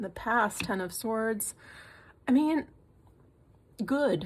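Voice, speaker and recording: A woman speaks at a fairly high pitch, somewhat breathy. Her pitch varies in an ordinary way. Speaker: tarot reader. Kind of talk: tarot reading. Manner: halting, many fillers and repeats.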